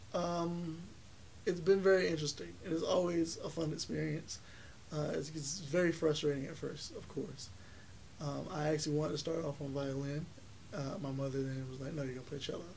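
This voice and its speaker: Over noticeable background noise and audible room echo, a man talks at a fairly quick pace in a fairly high pitch, with ordinary pitch variation. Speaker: college music student and festival founder. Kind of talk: interview.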